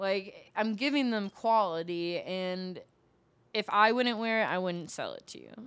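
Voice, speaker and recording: An ordinary speaking voice with an American accent proceeds at a fairly slow pace, showing ordinary pitch variation and big swings in loudness. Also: woman, medium pitch for a woman. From US Midwest (Milwaukee, Wisconsin). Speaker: adult performer and rapper. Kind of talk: casual chat.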